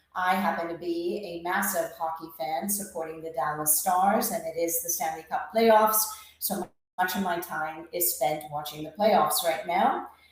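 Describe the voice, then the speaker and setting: A woman speaks with an American accent at a moderate pace. Her pitch is fairly low, her intonation fairly even, and the room echo is audible. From England. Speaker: screening industry executive. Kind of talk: webinar presentation.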